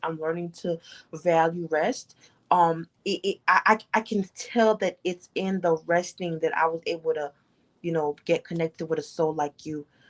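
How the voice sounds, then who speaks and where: A woman with a plain, everyday voice talks at a moderate pace, fairly low in pitch with fairly even intonation, in a dry, close sound with no echo. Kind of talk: casual live stream talk.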